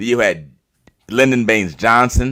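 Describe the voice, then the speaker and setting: With an American accent, a man speaks at a moderate pace and medium pitch in an animated tone. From Chicago, US. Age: 60s. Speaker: actor and director. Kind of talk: casual chat. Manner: animated, talkative.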